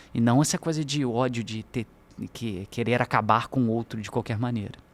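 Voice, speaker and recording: A man talks at a fairly quick pace. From Brazil, Minas Gerais (Juiz de Fora). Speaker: university professor. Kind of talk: podcast interview.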